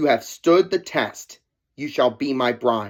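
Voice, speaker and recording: Using a growling, put-on character voice at a medium pitch, a man talks at a fairly slow pace in a very clean recording with a silent background. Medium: read story. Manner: cold, commanding.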